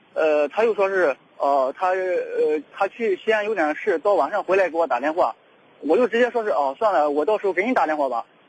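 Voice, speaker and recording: A man with high pitch and lively intonation at a fairly quick pace, in a dry, close sound with no echo, over noticeable background noise. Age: 30s. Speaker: caller seeking dating advice. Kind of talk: call-in consultation. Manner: halting, many fillers and repetitions.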